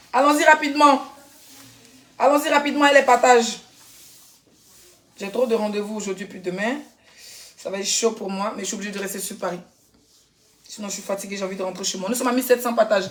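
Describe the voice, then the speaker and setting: A woman's fairly high voice at a very fast pace with long, frequent pauses, big swings in loudness and ordinary pitch variation. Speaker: influencer. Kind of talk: live stream chat. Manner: animated.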